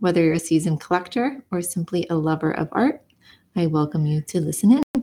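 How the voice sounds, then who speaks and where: The delivery is fairly quick, with lively intonation and a dark, mellow tone. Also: woman. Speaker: podcast host. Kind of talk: podcast introduction. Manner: enthusiastic.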